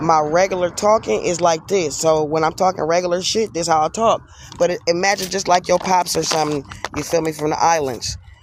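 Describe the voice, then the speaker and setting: With noticeable background noise behind him, a man speaks at a fairly quick pace in a high pitch. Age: 40s. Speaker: streamer. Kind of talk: casual chat. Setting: outdoors. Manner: animated.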